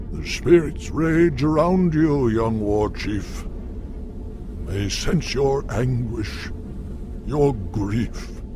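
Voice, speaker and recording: In a cartoonish character voice, a man speaks at a very slow pace and medium pitch, with long, frequent pauses over loud background noise. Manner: calm, measured.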